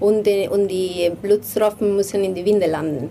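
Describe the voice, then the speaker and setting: With a Spanish accent, a woman talks at a fairly slow pace and medium pitch over noticeable background noise. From Spain, Madrid. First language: Spanish (speaking German). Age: 30s. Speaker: designer and game co-founder. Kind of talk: interview.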